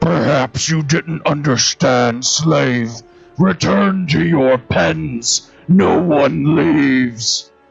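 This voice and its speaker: A raspy put-on character voice speaks at a very slow pace. Faint music plays in the background. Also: man, fairly high pitch for a man. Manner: domineering, menacing.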